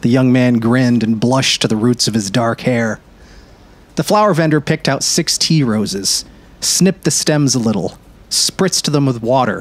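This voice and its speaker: Using a plain, everyday voice, a man speaks at a moderate pace and medium pitch with lively intonation and very even loudness. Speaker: narrator. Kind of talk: audiobook-style literary narration. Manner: measured, warm storyteller pacing, dreamy and descriptive.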